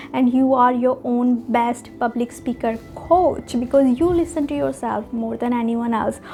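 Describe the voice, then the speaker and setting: The speaker has a non-native accent and ordinary pitch variation. Background noise is noticeable. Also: woman. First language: not English. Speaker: public speaking coach / vlogger. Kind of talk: tutorial.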